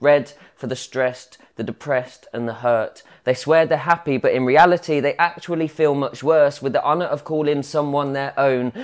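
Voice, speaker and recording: A man speaks at a moderate pace. His intonation is fairly even over a quiet background. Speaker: spoken word poet. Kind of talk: spoken word poetry performance. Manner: rhythmic, rhyming delivery with storytelling flow; wry, conversational, mock-casual tone with crude humour. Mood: reflective, intimate. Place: workshop. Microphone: lapel.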